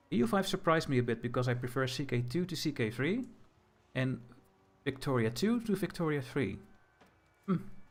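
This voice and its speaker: A man with a Dutch accent speaks at a fairly quick pace and a medium pitch, somewhat breathy, with lively intonation and long, frequent pauses. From Netherlands. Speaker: gaming streamer. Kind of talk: casual livestream commentary. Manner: hesitant, repeating words.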